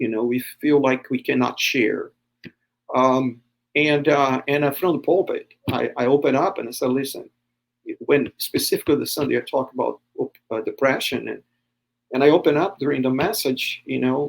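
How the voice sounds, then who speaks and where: At a moderate pace, a man with a Brazilian accent speaks with long, frequent pauses. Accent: Brazilian, jokes it is Texan. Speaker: pastor. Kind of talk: podcast interview. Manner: hesitant, many fillers.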